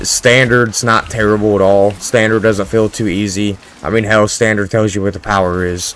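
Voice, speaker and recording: A man speaks quietly and fairly quickly in a monotone, flat way. Noticeable background noise runs underneath. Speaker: gaming YouTuber. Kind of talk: gameplay commentary. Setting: home at night. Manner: casual, rambling.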